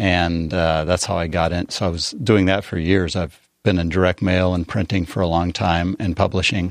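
Against a quiet background, a man with an American accent speaks with a very deep, low pitch, monotone, flat intonation and hardly any pauses. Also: moderate pace. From Colorado Eastern Plains, rural. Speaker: newspaper publisher. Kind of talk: casual interview.

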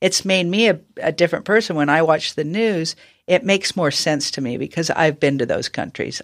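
At a moderate pace, a woman speaks in a normal speaking voice with a fairly low pitch and ordinary pitch variation, recorded very cleanly against a silent background. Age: 60s. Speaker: professional golfer. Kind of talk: casual chat.

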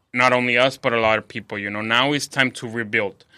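A man with a Spanish accent talks at a fairly quick pace. His tone is bright and sharp, his pitch medium. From Mexico City. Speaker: chef. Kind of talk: interview. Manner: halting, many fillers.

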